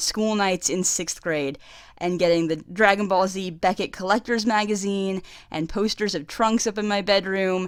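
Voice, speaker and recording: The speaker sounds excited, moving at a moderate pace with ordinary pitch variation. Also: woman. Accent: American. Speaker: anime fan reviewer. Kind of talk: casual review talk to camera.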